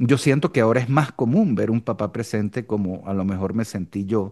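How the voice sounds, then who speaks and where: The background stays quiet. A man talks at a moderate rate with lively intonation. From Venezuela. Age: 60s. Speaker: business coach. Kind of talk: podcast interview. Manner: hesitant fillers.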